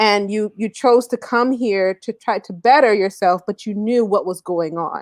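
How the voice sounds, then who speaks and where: An ordinary speaking voice from a woman with an American accent, medium pitch and ordinary pitch variation, at a fairly slow pace, dry and close with no echo against a quiet background. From US, Caribbean family. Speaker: talk show co-host. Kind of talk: casual discussion.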